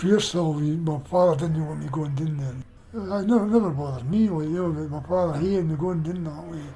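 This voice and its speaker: Audible room echo surrounds the man's voice, which competes with noticeable background noise. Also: ordinary pitch variation. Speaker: oral history interviewee. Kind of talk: casual reminiscence interview. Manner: halting.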